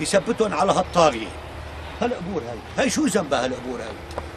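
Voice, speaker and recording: Over noticeable background noise, a man talks at a fairly quick pace. His high voice swings very widely in pitch. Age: 60s. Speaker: elderly villager. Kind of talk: angry tirade. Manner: animated.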